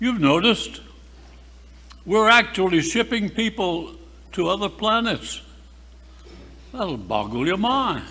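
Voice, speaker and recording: A man with a high voice speaks in a raised, projected way at a fairly slow pace, with lively intonation and long, frequent pauses. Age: 80s+. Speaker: retired-age priest. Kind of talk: speech at parish annual meeting.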